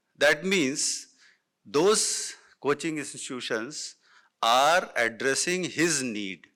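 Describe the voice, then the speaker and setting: A man's fairly high, bright and sharp voice with lively intonation, very slow pace, and a very clean recording with a silent background. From northern India. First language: Hindi. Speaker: education panelist. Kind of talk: panel talk. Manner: halting, many fillers.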